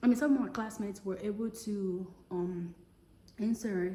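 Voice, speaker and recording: A woman with a strong West African accent speaks at a moderate pace and medium pitch, her intonation fairly even, with audible room echo. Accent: West African, heavy. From Togo, West Africa. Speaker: vlogger. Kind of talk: casual personal vlog. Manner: halting, many fillers.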